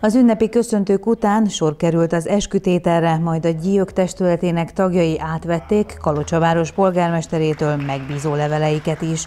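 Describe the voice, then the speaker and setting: An ordinary speaking voice from a woman, fairly low in pitch with ordinary pitch variation, at a moderate pace with hardly any pauses. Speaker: news reporter. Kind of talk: news reading.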